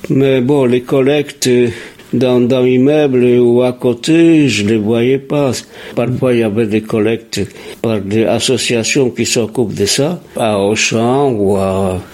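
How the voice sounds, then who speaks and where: Speaking at a very slow pace, a man keeps his loudness very even over noticeable background noise. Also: medium pitch for a man, ordinary pitch variation. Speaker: retired printer, resident interviewee. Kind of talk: interview.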